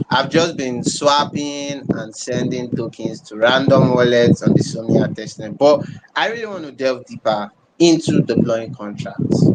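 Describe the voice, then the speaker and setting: With a Nigerian accent, a man speaks at a fairly slow pace, with ordinary pitch variation and big swings in loudness. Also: medium pitch for a man. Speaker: community member. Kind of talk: casual chat. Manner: halting.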